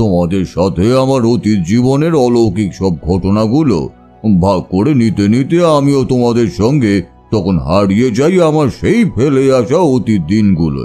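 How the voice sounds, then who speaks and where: Doing a put-on character voice at a medium pitch, a man speaks at a fairly slow pace with very wide pitch swings and very even loudness, with faint music in the background. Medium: audio drama. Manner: slow, reflective.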